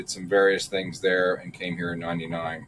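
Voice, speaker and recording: The speaker is a man with an American accent. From South Jersey, US (Philadelphia area). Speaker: paver contractor, business owner. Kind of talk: podcast interview. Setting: studio.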